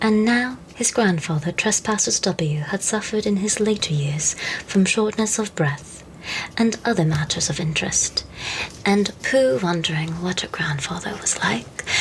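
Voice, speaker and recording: Soft-spoken with a gentle tone, the voice moves at a fairly slow pace amid noticeable background noise. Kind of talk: storybook narration, children's classic. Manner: soft-spoken, gentle.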